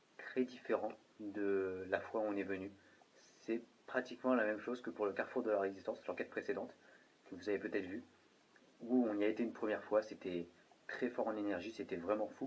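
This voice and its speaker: Pausing long and often, a man with a fairly low pitch moves at a fairly quick pace with fairly even intonation. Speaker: paranormal investigator. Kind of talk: on-site investigation commentary, addressing spirits and viewers. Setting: indoors at night in an old hotel-restaurant. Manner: halting, with repetitions and fillers.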